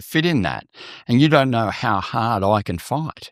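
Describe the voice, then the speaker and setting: The recording is very clean and the background silent. In it, a man speaks with an Australian accent. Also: dry, close sound with no echo. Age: 60s. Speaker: mental health advocate and TV presenter. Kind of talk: podcast interview.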